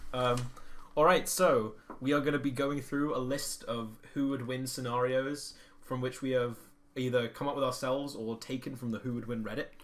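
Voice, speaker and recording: Here a man speaks at a moderate pace with a medium pitch. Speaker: podcast co-host. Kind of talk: casual chat. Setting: shared microphone. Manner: loud; animated.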